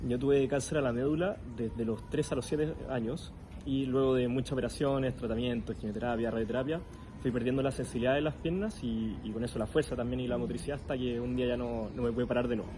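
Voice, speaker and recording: A man with a dark, mellow tone and a somewhat breathy, medium-pitched voice speaks very fast with fairly even intonation. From Chile. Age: 20s. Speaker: para-athlete and psychologist. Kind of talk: interview.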